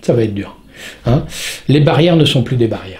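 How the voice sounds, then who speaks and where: A man's slightly breathy voice rises and falls in pitch in a normal way. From southern France. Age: 60s. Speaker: stuntman. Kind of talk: interview answer. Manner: talkative.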